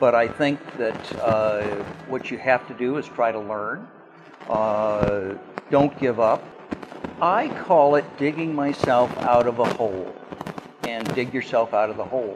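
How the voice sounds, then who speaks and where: Fairly slow delivery with long, frequent pauses, ordinary pitch variation and noticeable background noise. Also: man. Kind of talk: interview answer. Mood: reflective, calm. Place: home room. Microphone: lapel.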